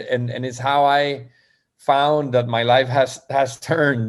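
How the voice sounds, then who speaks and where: In a Spanish accent, a man talks with monotone, flat intonation. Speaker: poet. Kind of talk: interview. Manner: halting.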